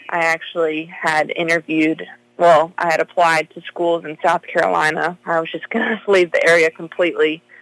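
Speaking at a moderate pace, a woman has a fairly low pitch and a plain, everyday voice with fairly even intonation. The sound is dry and close, with no echo. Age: 20s. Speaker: high school basketball coach. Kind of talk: casual interview.

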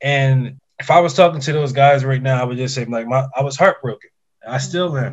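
At a moderate pace, a man with a medium pitch talks somewhat breathily, his intonation fairly even. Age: 30s. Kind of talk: casual chat. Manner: halting, repeating words.

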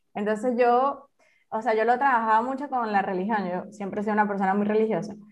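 The speech comes very fast with fairly even intonation and audible room echo. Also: woman, fairly high pitch for a woman. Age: 30s. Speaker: engineer and educator, author. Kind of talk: interview testimony. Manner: halting, many fillers.

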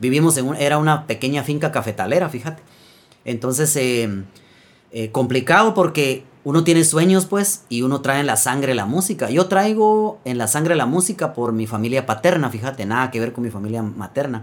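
With a Guatemalan accent, a man talks at a moderate pace, his fairly high pitch carrying lively intonation. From Guatemala, Quetzaltenango / San Felipe Retalhuleu. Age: 40s. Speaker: folk singer-songwriter. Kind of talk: casual chat. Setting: in-person studio recording.

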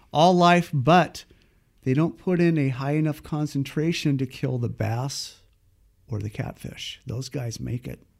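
A man with a plain, everyday voice, fairly high in pitch, at a fairly slow pace with ordinary pitch variation, on a very clean recording with a silent background. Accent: American. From Northern California (Paradise). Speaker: fly fishing guide. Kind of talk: casual interview.

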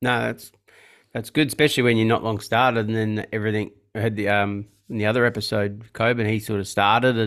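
At a fairly quick pace, a man speaks at a medium pitch with an Australian accent. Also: very clean recording, silent background. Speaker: podcast host and car detailer. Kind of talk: casual interview. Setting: podcast recording. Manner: hesitant with many fillers.

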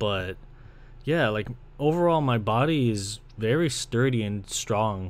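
With a Toronto accent and lively intonation, a man of medium pitch speaks at a fairly slow pace. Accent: Toronto Canadian English. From Canada, Ontario (Brampton). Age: 20s. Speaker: podcast host and video creator. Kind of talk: casual solo monologue. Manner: casual, rambling.

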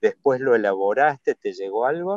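A man with a Rioplatense accent. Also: dry, close sound with no echo. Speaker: podcast host. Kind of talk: interview.

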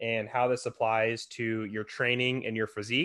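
A man speaks at medium pitch in an ordinary speaking voice. The background is quiet. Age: 20s. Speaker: fitness podcast host. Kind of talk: solo podcast monologue.

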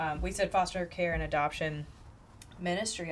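A woman is speaking. Her voice has vocal fry. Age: 30s. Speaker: podcast host, university staff. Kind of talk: casual chat.

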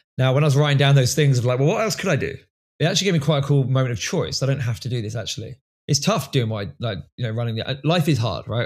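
With a southern English accent, a man talks at a very fast pace, somewhat breathy and with lively intonation. The recording is very clean and the background silent. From England, Milton Keynes. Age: 30s. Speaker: education business founder and coach. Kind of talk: podcast interview.

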